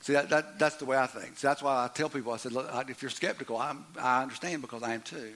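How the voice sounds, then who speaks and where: A man with a medium-pitched voice talks at a very fast pace. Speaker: pastor. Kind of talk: sermon. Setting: church. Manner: animated.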